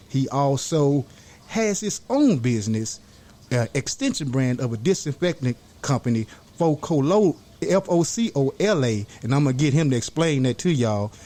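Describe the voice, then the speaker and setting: Using a normal speaking voice, a man with a fairly high pitch speaks at a moderate pace with lively intonation and very even loudness. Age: young. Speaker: podcast host. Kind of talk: podcast interview.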